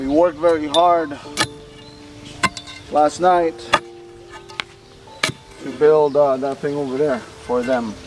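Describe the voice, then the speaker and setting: A man with an American accent, fairly high in pitch, at a fairly slow pace with long, frequent pauses and fairly even intonation, music in the background. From Filipino American. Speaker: vlogger. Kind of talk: casual vlog talk to camera.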